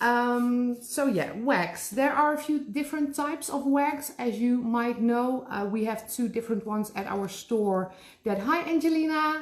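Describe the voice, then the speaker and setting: A woman with a Dutch accent speaks at a high pitch, with hardly any pauses. Noticeable background noise runs behind her. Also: ordinary pitch variation, fairly slow pace. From Netherlands. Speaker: special effects makeup artist. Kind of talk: live tutorial. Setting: live online class from her store. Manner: casual, with frequent fillers.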